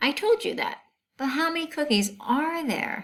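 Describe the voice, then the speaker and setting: In a squeaky, put-on character voice, a woman speaks at a high pitch and a moderate pace, her pitch swinging very widely. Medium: read story. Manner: patient, encouraging.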